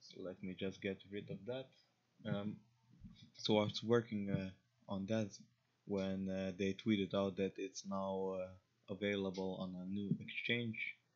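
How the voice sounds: Speaking at a fairly slow pace with an Eastern European accent, a man with a low pitch shows little pitch movement. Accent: Slavic.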